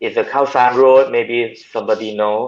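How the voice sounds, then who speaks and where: A man with a Thai accent talks at a medium pitch. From southern Thailand. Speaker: hydroponic farmer. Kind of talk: video call interview. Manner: halting.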